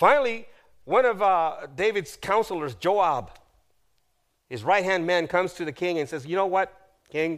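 Speaking at a moderate pace with long, frequent pauses, a man uses a high pitch, lively intonation and an animated tone in a very clean recording with a silent background. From South America. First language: Spanish. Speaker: guest preacher. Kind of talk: sermon. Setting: church.

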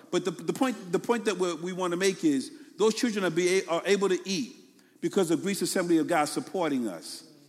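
Speaking at a fairly quick pace with a Brooklyn accent, a man uses a high pitch and ordinary pitch variation. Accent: Brooklyn New York. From New York City, Brooklyn. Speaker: pastor. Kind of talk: sermon. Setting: church. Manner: fast.

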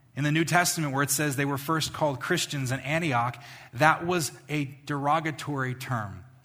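Fairly slow male speech in a fairly high pitch, bright and sharp in tone, with ordinary pitch variation and audible room echo. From New York, Long Island. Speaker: pastor. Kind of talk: sermon. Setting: church.

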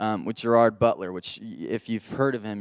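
Over a silent background in a very clean recording, a speaker with an American accent talks at a fairly quick pace in a flat, monotone intonation. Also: man. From Texas. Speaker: church worship leader. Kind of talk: sermon. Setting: church service.

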